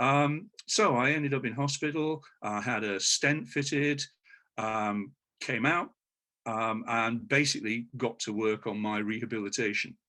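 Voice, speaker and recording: A man with a British accent, a bright, sharp tone, a fairly slow pace and ordinary pitch variation. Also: medium pitch for a man, very clean recording, silent background. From United Kingdom. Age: 60s. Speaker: patient. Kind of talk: interview. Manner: halting, many fillers.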